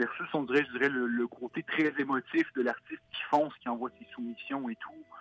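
A man's fairly high pitch and fairly even intonation, a moderate pace with hardly any pauses, big swings in loudness, and noticeable background noise. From Quebec. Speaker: illustrator. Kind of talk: interview. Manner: hesitant, many fillers.

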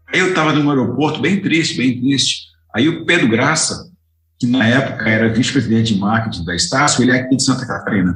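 At a very fast pace, a man with a medium pitch talks with lively intonation and very even loudness. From Goiás, Brazil. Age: 60s. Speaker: distance education consultant. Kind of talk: interview. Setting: office studio.

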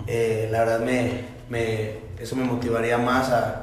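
A man with a Mexican accent speaks in monotone, flat intonation, with audible room echo and noticeable background noise. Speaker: boxer. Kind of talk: casual interview.

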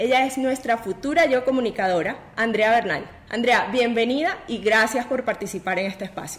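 Noticeable background noise sits behind a woman with a fairly high pitch. Her intonation is lively and her pace moderate. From Venezuela. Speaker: podcast host. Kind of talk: interview.

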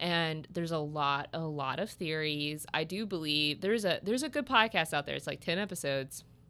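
A woman with a Midwestern American accent, very deep and low in pitch, animated and bright and sharp in tone, at a fairly quick pace with hardly any pauses. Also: ordinary pitch variation, very clean recording, silent background. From US Midwest, Southern Illinois. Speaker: podcast guest, friend of host. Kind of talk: casual chat. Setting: massage therapy office. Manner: animated, frequent laughter.

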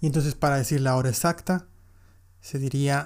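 A man speaks at a fairly high pitch. His intonation is fairly even. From Mexico, Monterrey. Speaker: English teacher, podcaster. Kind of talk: tutorial.

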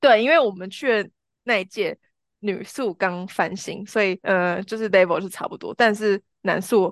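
Recorded dry and close with no echo over a quiet background, a woman in a normal speaking voice talks at a medium pitch and a fairly slow pace, her pitch varying in an ordinary way and her loudness swinging widely. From Taiwan, Changhua and Taichung. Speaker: marketing professional, podcast guest. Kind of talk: casual chat.

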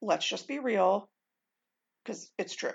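Speaking at a moderate pace, a woman with an unremarkable speaking voice and an American accent has a medium pitch and ordinary pitch variation. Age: 40s. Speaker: podcast host. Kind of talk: casual monologue.

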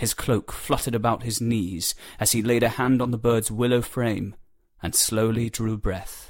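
The delivery here is plain reading aloud.

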